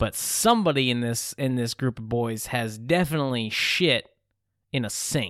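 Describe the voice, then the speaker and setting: The speaker has an unremarkable speaking voice, an American accent and a moderate pace. Pitch varies in an ordinary way, and the recording is very clean with a silent background. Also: man, medium pitch for a man. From Massachusetts. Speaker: quiz show host. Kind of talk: comedic quiz show banter.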